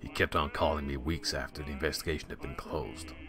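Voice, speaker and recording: A man talks very fast in a gravelly, put-on character voice. Clear background noise can be heard. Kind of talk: noir narration.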